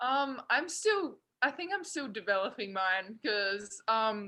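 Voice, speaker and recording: A woman with an Australian accent speaks at a fairly high pitch with a bright, sharp tone. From South Australia. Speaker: college basketball player. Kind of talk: interview. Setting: video call.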